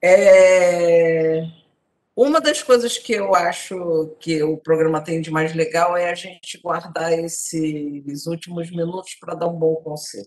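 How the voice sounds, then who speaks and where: Very slowly, a woman with a fairly low voice talks with fairly even intonation and big swings in loudness. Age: 60s. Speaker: TV talk show host. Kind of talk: TV panel discussion.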